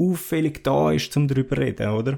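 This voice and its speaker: In a Swiss accent, a man with a dark, mellow tone and fairly high pitch speaks at a moderate pace on a very clean recording with a silent background. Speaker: podcast host. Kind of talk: solo podcast monologue. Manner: halting, many fillers.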